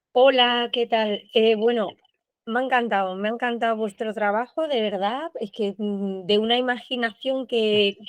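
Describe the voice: Speaking at a fairly slow pace with an Andalusian accent, a woman uses a fairly high pitch and fairly even intonation, and the sound is dry and close with no echo.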